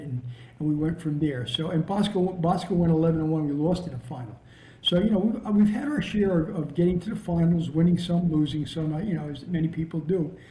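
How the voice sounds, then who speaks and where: A fairly high-pitched man with an American accent at a fairly quick pace, with audible room echo and noticeable background noise. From New Jersey. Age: 70s. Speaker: veteran high school football coach. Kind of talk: casual interview chat and coaching talk. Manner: halting, many repeated words and fillers.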